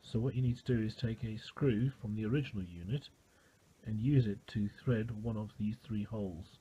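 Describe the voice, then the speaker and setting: A man with a British accent speaks at medium pitch in a dark, mellow, somewhat breathy tone. His pace is moderate and his intonation fairly even. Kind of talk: DIY car repair tutorial. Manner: casual.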